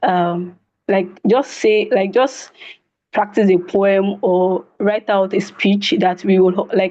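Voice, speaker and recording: With a dark, mellow tone at medium pitch, a woman talks at a very slow pace, her loudness very even and her intonation fairly even. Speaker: stutter support group member. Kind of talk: testimony. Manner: stuttering.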